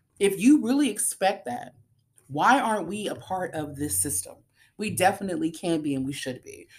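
A woman's medium-pitched, animated voice at a moderate pace, with vocal fry, very wide pitch swings and big swings in loudness. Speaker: podcast host. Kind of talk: solo podcast monologue.

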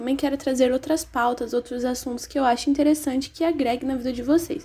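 The speaker has a dark, mellow tone, fairly even intonation and a fairly quick pace. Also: woman. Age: 20s. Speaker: podcast host, history student. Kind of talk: casual solo podcast monologue.

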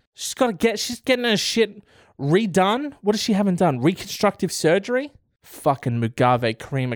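A man with an Australian accent, very wide pitch swings, moderate pace, dry, close sound with no echo, very clean recording with a silent background. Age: 20s. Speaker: podcast host. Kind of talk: casual solo commentary.

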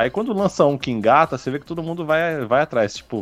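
Very wide pitch swings mark this very fast speech, with music in the background. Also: man. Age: middle-aged. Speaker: podcast co-host. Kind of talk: casual chat.

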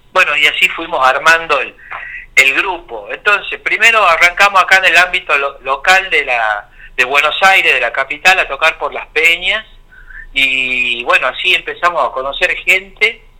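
This man's high-pitched voice moves at a moderate pace with lively intonation. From Argentina, Tucumán. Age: 40s. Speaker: drummer. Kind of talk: interview. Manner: halting.

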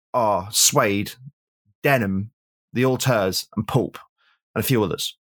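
A man with an English accent speaks with lively intonation in a very clean recording with a silent background and a dry, close sound with no echo. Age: 40s. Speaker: music critic and author. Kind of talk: casual chat. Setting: at home.

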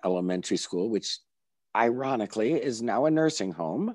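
A man speaks with lively intonation. The sound is dry and close with no echo, and the background is quiet. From upstate New York, Binghamton. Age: 60s. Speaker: journalist and former character actor. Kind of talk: casual interview. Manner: animated.

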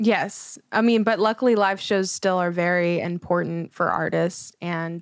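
In a very clean recording with a silent background and a dry, close sound with no echo, a woman with an unremarkable speaking voice talks at medium pitch and a fairly slow pace, her intonation fairly even. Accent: American. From Houston, Texas. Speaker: singer and recording artist. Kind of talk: casual interview.

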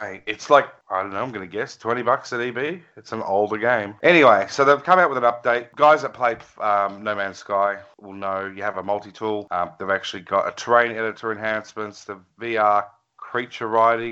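A man speaks with an Australian accent and a fairly low pitch. His loudness swings widely. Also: ordinary pitch variation, moderate pace. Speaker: gaming podcast co-host. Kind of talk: casual chat.

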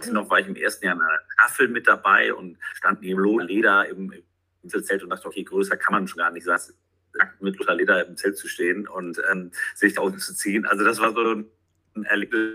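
This man speaks at a fairly quick pace, his loudness swinging widely from moment to moment. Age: 40s. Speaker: sports commentator. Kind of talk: casual interview. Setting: remote call.

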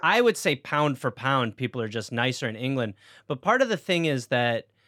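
A man's unremarkable speaking voice, medium in pitch, with an American accent, lively intonation and a moderate pace, in a dry, close sound with no echo on a very clean recording with a silent background. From Wisconsin, raised by English parents. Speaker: stand-up comedian. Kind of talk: casual chat.

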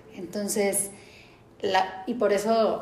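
Noticeable background noise and audible room echo fill the recording. Through them, a woman talks in a fairly high pitch. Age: 30s. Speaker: nutritionist. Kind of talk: interview.

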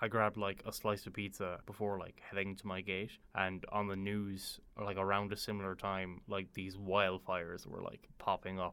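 In an Irish accent, the voice has a bright, sharp tone on a very clean recording with a silent background. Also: man. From Ireland. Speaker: university student and traveller. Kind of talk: casual storytelling interview.

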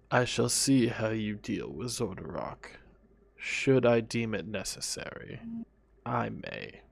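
Someone speaks at a fairly slow pace in a put-on character voice. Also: man, medium pitch for a man. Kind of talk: tabletop game master character voice. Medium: actual play. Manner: gruff, profane, curt.

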